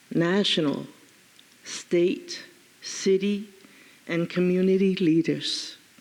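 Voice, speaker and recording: In an American accent, a woman with a medium pitch speaks at a very slow pace, using ordinary pitch variation and long, frequent pauses. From Hong Kong. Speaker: peace activist. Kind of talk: conference speech. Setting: stage with audience.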